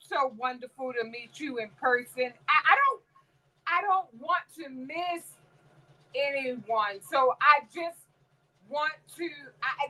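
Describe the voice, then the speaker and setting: Speaking very slowly with long, frequent pauses, a woman uses a high pitch and a raised, projected voice. Her tone is bright and sharp, and her loudness swings widely. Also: ordinary pitch variation. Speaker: crafting livestream host. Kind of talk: casual live stream chat.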